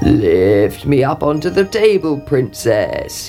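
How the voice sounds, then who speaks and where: Over clear music in the background, a man does a croaky, put-on character voice at a fairly slow pace. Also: fairly high pitch for a man. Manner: demanding.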